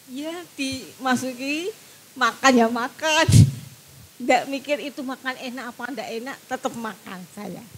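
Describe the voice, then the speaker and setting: Heard against noticeable background noise, a woman speaks at a fairly slow pace and high pitch, with ordinary pitch variation and big swings in loudness. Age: 50s. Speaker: cancer patient. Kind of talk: testimony.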